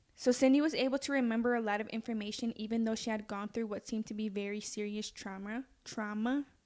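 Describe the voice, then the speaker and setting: A woman's fairly high voice at a very fast clip, with hardly any pauses and fairly even intonation. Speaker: true crime podcast host. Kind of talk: casual true crime chat, narrating a case. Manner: stutters when nervous; casual, conversational.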